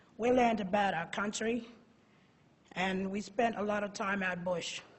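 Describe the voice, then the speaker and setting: In a room with audible echo, a woman speaks at a moderate pace in a medium pitch with fairly even intonation. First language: Pitjantjatjara. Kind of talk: prepared conference talk. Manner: halting, repeats words.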